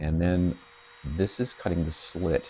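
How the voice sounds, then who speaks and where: Noticeable background noise sits behind a man's very deep, low voice. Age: 60s. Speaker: EDC tool reviewer. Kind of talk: tutorial. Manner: halting.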